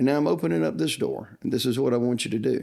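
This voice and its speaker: The tone is dark and mellow, with a Southern US accent. The recording is very clean, with a silent background. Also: man. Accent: Southern US (Georgia). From US South, Georgia (Upson County). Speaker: church youth minister. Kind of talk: casual interview chat. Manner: frequent fillers (uh).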